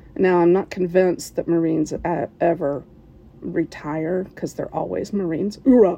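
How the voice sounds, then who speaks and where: With an American accent, a woman speaks at a moderate pace in a fairly low pitch, a dark, mellow tone and ordinary pitch variation. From West Virginia, US. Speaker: listener submitting a story. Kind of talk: recorded personal story.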